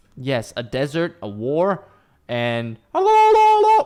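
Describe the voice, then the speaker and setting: His speech carries an American accent. The man's intonation rises and falls in a lively way. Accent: American-sounding. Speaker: streamer reacting to videos. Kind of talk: reaction commentary.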